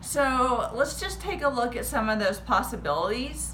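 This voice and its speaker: There is audible room echo around a voice with a slight Texan accent. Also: woman. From Texas. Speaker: history teacher. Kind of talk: casual history rant to camera.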